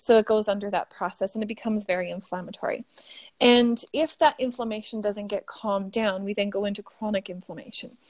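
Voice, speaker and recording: A woman with a Canadian accent talks fairly quickly in an unremarkable speaking voice, fairly high-pitched with ordinary pitch variation and a dry, close sound with no echo. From Canada. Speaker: biochemist and skincare founder. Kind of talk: interview.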